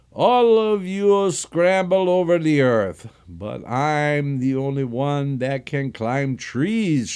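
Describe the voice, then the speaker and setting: A man's shrill put-on character voice, fairly high in pitch, at a very slow pace over a quiet background. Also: hardly any pauses. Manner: shrieking.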